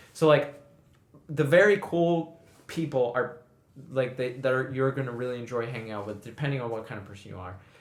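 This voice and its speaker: Audible room echo surrounds a man speaking at a fairly quick pace. His pitch is medium with ordinary variation. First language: not English. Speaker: podcast co-host. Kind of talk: casual chat.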